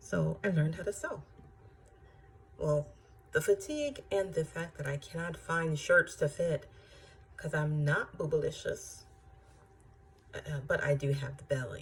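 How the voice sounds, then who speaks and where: A woman with an American accent, a fairly slow pace, long, frequent pauses and big swings in loudness. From southern US. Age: 40s. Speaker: vlogger with kidney disease. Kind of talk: personal vlog. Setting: at home. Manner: many filler sounds.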